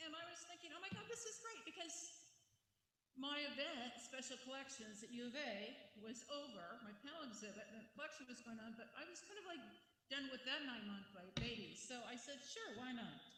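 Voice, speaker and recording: A woman's high-pitched, raised, projected voice swings very widely in pitch, with audible room echo. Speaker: daughter of honoree, guest speaker. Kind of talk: ceremony speech. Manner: loud; casual, halting.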